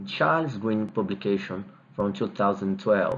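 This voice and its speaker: A man with a Brazilian Portuguese accent speaks at a medium pitch and a fairly slow pace. His pitch varies in an ordinary way, and the room echo is audible. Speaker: dentist, TMD specialist. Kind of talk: video lecture reviewing guidelines.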